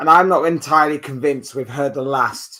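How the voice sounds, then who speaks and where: The pace is moderate. A British accent comes through. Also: man. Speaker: football YouTuber. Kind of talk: live stream chat. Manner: casual, conversational.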